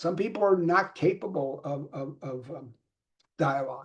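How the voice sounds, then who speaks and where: A man's fairly high voice with a Philadelphia accent and ordinary pitch variation. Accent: Philadelphia American. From Philadelphia, US. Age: 70s. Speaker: communication coach. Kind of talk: live stream talk. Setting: live video stream. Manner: casual, street-talk style; halting, many repetitions.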